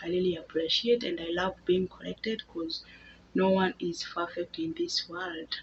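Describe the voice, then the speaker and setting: A woman with a Kenyan accent speaks at a medium pitch, somewhat breathy, with lively intonation. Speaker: housemaid and vlogger. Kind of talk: casual vlog talk to camera. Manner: halting with repetitions.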